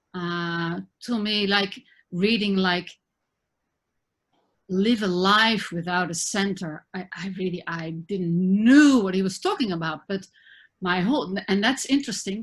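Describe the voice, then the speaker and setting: Pitched in the medium range, a woman's voice sounds somewhat breathy. She talks at a fairly slow pace with ordinary pitch variation. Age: 60s. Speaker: spiritual teacher and therapist. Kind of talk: interview conversation. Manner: halting.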